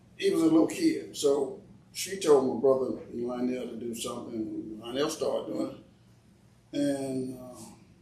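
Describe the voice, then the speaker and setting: Fairly slow speech from a man, with big swings in loudness, audible room echo and noticeable background noise. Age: 70s. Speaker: family elder interviewed about family history. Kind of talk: casual storytelling interview.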